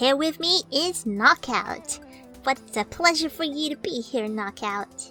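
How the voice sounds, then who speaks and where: Clear music plays in the background as a woman does a put-on character voice, high-pitched and at a fairly slow pace. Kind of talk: mock interview host. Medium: role play. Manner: hesitant, awkward.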